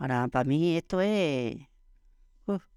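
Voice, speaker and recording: This very clean recording has a silent background and a dry, close sound with no echo, and the voice shows ordinary pitch variation. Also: woman. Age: 80s+. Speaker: interviewee, older village woman. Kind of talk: interview conversation.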